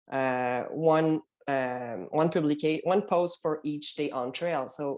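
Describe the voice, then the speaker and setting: A woman speaks with a non-native accent in a very deep, low voice. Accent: noticeable foreign. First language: not English. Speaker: long-distance hiker. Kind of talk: podcast interview. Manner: hesitant, with fillers.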